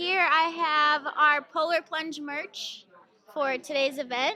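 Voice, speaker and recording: The voice is raised and projected, with a bright, sharp tone. Its intonation stays fairly even at a very slow pace. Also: woman. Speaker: charity staff member. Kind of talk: casual interview.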